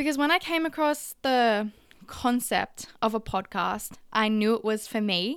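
Speaking with an Australian accent, a woman has a fairly high pitch and lively intonation. Her pace is fairly slow. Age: young. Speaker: podcast host, barista. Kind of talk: personal monologue podcast. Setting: home recording at a vanity.

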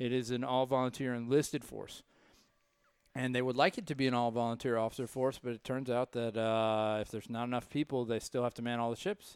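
Using an unremarkable speaking voice, a man talks at a medium pitch. He keeps a fairly quick pace and fairly even intonation. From US South, Raleigh, North Carolina. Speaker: navy veteran and gym member. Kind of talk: casual chat.

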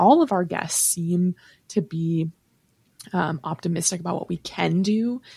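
This woman's voice is somewhat breathy. She speaks at a fairly slow pace. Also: ordinary pitch variation, dry, close sound with no echo. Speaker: podcast host. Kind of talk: casual chat. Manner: animated.

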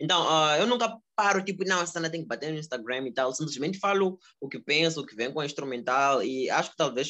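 With a bright, sharp tone and a fairly high pitch, a man talks at a fairly quick pace with lively intonation. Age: 20s. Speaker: rapper. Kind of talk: casual interview. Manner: halting, many repetitions.

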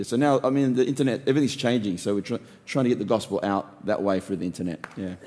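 In an Australian accent, a man with a dark, mellow tone and medium pitch speaks very fast with ordinary pitch variation. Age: 50s. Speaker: pastor. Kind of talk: casual interview.

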